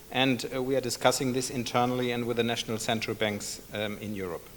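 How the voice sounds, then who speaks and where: A man's medium-pitched voice at a moderate pace with fairly even intonation. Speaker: central bank statistician. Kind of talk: conference presentation. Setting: seminar with audience. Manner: halting, many fillers.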